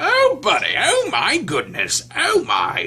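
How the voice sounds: Put on as a character voice, the speech comes at an extremely high pitch and a fairly slow pace.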